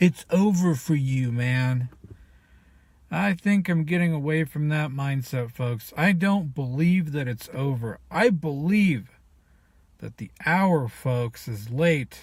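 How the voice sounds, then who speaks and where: On a very clean recording with a silent background, a man with a fairly high pitch and a somewhat breathy voice speaks at a very slow pace. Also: lively intonation. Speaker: video blogger. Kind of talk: personal vlog monologue.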